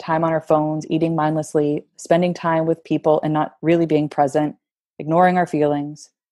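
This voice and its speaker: Against a quiet background, a woman with an American accent speaks fairly quickly in a fairly low, dark, mellow voice. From US Northeast, Massachusetts. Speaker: yoga teacher and author. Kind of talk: interview conversation; reading aloud from own book.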